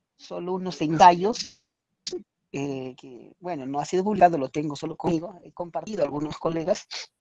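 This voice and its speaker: In an Andean accent, a man with a fairly high pitch and a dark, mellow tone talks at a moderate pace with ordinary pitch variation, in a dry, close sound with no echo. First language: Quechua (speaking Spanish). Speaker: teacher. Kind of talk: audience question. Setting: video call. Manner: halting, many fillers.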